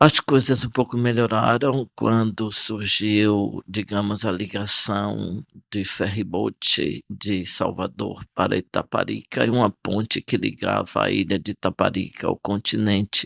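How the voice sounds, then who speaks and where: Fairly slow speech with hardly any pauses and fairly even intonation, in a dry, close sound with no echo on a very clean recording with a silent background. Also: man, fairly low pitch for a man. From Brazil, Bahia (Salinas da Margarida, Bay of All Saints). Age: 60s. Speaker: archbishop. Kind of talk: interview testimony. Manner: calm, serene; hesitant, with fillers.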